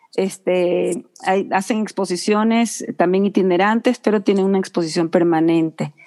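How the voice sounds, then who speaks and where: A dark, mellow tone holds very even loudness and fairly even intonation at a moderate pace, with hardly any pauses. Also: woman, medium pitch for a woman. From Ecuador. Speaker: communicator and designer, floral therapist. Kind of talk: interview.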